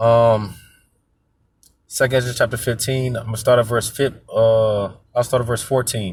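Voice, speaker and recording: A man speaks in a somewhat breathy, monotone, flat voice with long, frequent pauses. The recording is very clean with a silent background. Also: medium pitch for a man, moderate pace. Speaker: religious commentator. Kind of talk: scripture commentary. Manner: halting.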